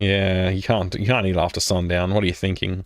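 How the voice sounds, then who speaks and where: This man speaks with an Australian accent at a fairly low pitch and a moderate pace, on a very clean recording with a silent background. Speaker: gaming streamer. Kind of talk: let's play commentary.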